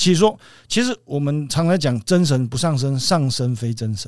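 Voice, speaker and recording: An ordinary speaking voice from a man, fairly high in pitch, quick in pace and lively in intonation. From central Taiwan. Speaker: Taoist priest. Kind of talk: interview.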